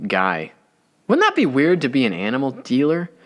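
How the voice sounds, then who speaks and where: A man's voice with very wide pitch swings. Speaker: podcast host. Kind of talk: solo comedy podcast monologue. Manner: casual, conversational.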